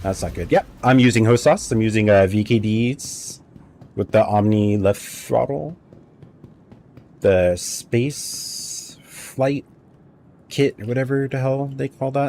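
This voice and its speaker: With an American accent, a man speaks very slowly at medium pitch in a dark, mellow tone, leaving long, frequent pauses and using ordinary pitch variation. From US, California. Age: 40s. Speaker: gaming live streamer. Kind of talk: casual chat while gaming.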